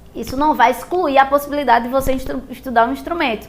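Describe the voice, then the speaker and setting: A woman's high-pitched voice with ordinary pitch variation, amid noticeable background noise and audible room echo. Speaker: music teacher. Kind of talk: lecture.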